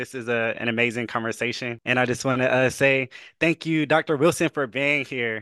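Dry and close with no echo, a man's bright, sharp tone moves at a fairly quick pace with fairly even intonation. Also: quiet background. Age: 20s. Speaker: podcast co-host, youth policy consultant. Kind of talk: interview.

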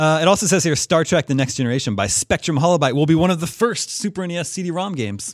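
Hardly pausing at all, a man talks very fast with lively intonation and a fairly high pitch. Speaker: podcast host. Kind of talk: casual chat.

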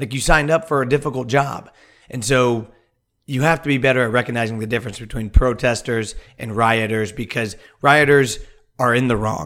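Speaking in a plain, everyday voice, a man keeps to a medium pitch and varies it in an ordinary way. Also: fairly quick pace. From US Midwest, Kansas City. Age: 30s. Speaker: podcast co-host. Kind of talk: casual chat. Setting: video call.

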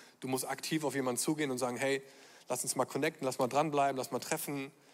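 The man speaks fairly quickly in a monotone, flat intonation. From Germany (born Düsseldorf). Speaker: pastor. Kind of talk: conference stage panel talk. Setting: stage with audience.

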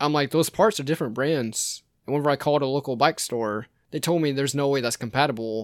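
A plain, everyday voice at a fairly quick pace with fairly even intonation, on a very clean recording against a silent background. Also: man. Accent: American. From US South, Georgia (Savannah area). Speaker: former paramedic, mountain biker. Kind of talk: casual chat.

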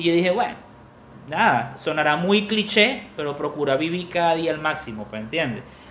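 An animated voice moves along at a moderate pace over noticeable background noise. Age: 30s. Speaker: podcast host. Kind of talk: closing message; casual chat.

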